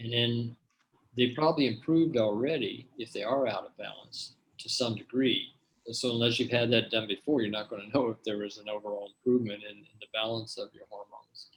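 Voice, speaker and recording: A man with an unremarkable speaking voice, medium pitch, fairly even intonation, a fairly quick pace and big swings in loudness. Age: 60s. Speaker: health researcher and product formulator. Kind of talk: Q&A at an online health seminar. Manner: casual, with frequent fillers and repetitions.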